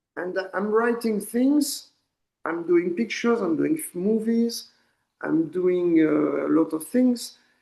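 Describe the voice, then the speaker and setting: Speaking very slowly with a French accent, the man has a high pitch, a dark, mellow tone and lively intonation. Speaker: poet and artist. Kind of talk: interview. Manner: halting, repeats words.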